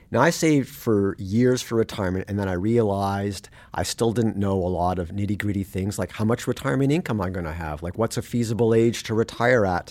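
A man with a Canadian accent and a plain, everyday voice, fairly low in pitch with ordinary pitch variation, talking at a fairly quick pace with hardly any pauses on a very clean recording with a silent background. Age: 50s. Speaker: personal finance journalist and podcast host. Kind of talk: interview. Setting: studio.

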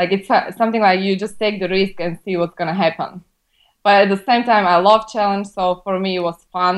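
Monotone, flat intonation in a Slovak accent. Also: woman. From Slovakia. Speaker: immigration lawyer. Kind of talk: interview.

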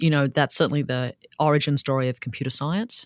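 In a very clean recording with a silent background and a dry, close sound with no echo, a woman with an Australian accent speaks at a very deep, low pitch with ordinary pitch variation. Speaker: anthropologist and professor. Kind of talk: interview conversation.

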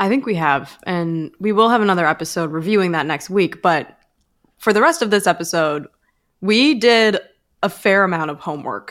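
A normal speaking voice with lively intonation at a moderate pace. The recording is very clean, with a silent background. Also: woman, medium pitch for a woman. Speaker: podcast host. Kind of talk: casual banter podcast.

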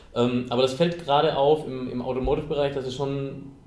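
A man talks at a fairly quick pace. Room echo is audible. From rural southern Germany. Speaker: podcast host. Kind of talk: interview. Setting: meeting room. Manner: halting.

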